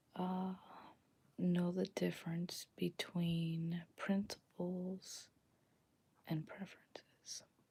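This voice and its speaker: A soft-spoken woman whispers at a very slow pace. Her voice is somewhat breathy. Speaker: ASMR content creator and podcaster. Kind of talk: casual talk to camera, reflective personal sharing. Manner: whispered and soft-spoken.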